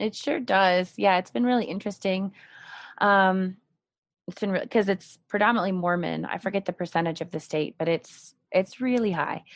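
A normal speaking voice with an American accent moves at a moderate pace with ordinary pitch variation against a quiet background. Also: woman, medium pitch for a woman. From California, Marin County. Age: 30s. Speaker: art therapist. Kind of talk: interview.

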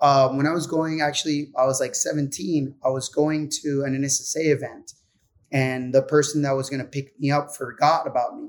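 A man with a Puerto Rican accent speaks at a moderate pace in a fairly high pitch and a monotone, flat intonation. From Puerto Rico. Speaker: pro surfer. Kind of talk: casual chat.

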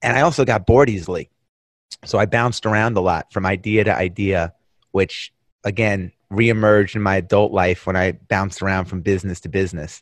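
Against a quiet background, a man with a fairly low voice talks fairly quickly with ordinary pitch variation. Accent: New York. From US Northeast, Long Island, New York. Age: 50s. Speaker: entrepreneur. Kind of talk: casual chat. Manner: animated.

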